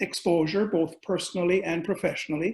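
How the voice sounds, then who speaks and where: Speaking with fairly even intonation, a man uses a high pitch. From Caribbean. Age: middle-aged. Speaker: business executive, speaker. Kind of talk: webinar talk. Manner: halting, many fillers.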